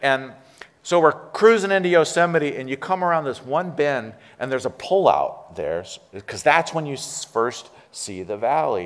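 With an American accent and an animated tone, a man at a fairly high pitch makes very wide pitch swings and big swings in loudness. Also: moderate pace. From California, US. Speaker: interim pastor. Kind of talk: sermon. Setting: church. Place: church.

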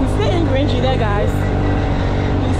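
Crowd noise sits in the background of a dry recording with no echo. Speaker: travel vlogger. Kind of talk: casual vlog chat. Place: motorbike. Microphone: phone near.

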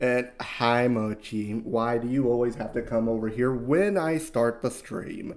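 A man speaks at a medium pitch and a fairly slow pace. His tone is slightly mellow, with ordinary pitch variation.

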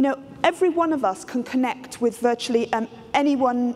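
A woman talks at a fairly quick pace with a high pitch over light background noise. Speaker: keynote speaker. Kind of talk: lecture. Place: stage.

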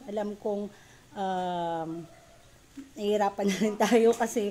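The woman speaks very slowly. Some light background noise is present. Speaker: live streamer greeting viewers. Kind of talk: casual live stream chat. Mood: warm, grateful sign-off. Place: home room. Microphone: phone near.

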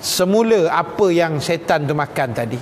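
A man speaks with a Malaysian accent over light background noise. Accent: Malaysian Malay. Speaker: Islamic teacher. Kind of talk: religious lecture. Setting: live lecture to women audience with microphone. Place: hall. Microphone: lapel.

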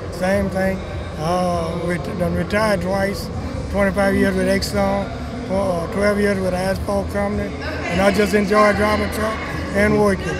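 A man talks at a moderate pace. Loud background noise runs beneath him. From Louisiana. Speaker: truck driver. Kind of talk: interview answer. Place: hall. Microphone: handheld.

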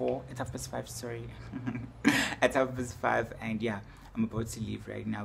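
A man's fairly low voice at a fairly quick pace with ordinary pitch variation, over noticeable background noise. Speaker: vlogger. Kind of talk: casual vlog chat. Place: home room. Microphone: phone near.

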